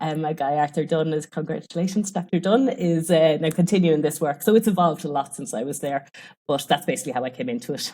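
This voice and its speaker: In an Irish accent, a woman with a very deep, low pitch talks at a very fast pace with lively intonation. The recording is very clean with a silent background. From Ireland. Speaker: sports nutrition researcher. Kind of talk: podcast interview.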